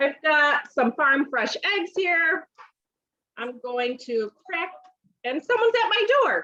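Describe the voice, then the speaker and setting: With a raised, projected voice and a bright, sharp tone, a woman talks at a very slow pace using very wide pitch swings. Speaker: home cooking consultant. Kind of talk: live cooking demonstration.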